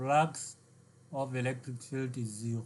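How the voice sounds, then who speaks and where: A man's somewhat breathy voice at a medium pitch. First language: not English. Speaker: physics tutor. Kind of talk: lecture. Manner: halting.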